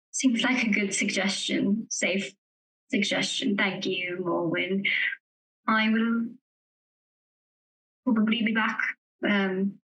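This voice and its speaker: Using a put-on character voice, a woman speaks raspily at a medium pitch and fairly slow pace, with fairly even intonation, very even loudness, and long, frequent pauses. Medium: actual play. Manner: formal, hesitant.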